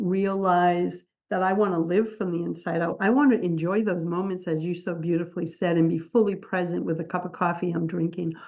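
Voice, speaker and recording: A woman speaks at medium pitch and a moderate pace with fairly even intonation. Hers is an ordinary speaking voice. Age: 60s. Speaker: podcast host and book publisher. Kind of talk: interview conversation. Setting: radio or podcast show.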